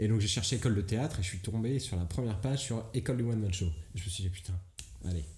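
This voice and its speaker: A man talks at a very fast pace in a fairly low voice with a dark, mellow tone and ordinary pitch variation. The sound is somewhat breathy, with audible room echo. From Brittany, France. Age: 20s. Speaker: comedian. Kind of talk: casual chat. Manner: hesitant, many fillers.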